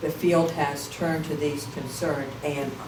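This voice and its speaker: Audible room echo alongside noticeable background noise. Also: woman. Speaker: professor. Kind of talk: lecture.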